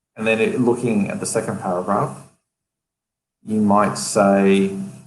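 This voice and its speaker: In a room with audible echo, a man talks at a fairly slow pace with a fairly low pitch and ordinary pitch variation. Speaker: LinkedIn writing expert. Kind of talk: live stream interview. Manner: halting, thinking aloud.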